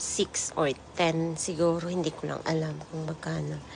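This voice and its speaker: Talking rather slowly, a woman uses a very deep, low pitch. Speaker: vlogger. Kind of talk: voice-over vlog narration. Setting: voice-over recorded later. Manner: casual, chatty.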